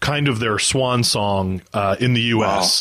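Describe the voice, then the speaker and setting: Speaking slowly and fairly evenly, a man talks at a medium pitch in an American accent. Noticeable background noise can be heard. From United States. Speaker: music podcast host. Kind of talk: casual chat.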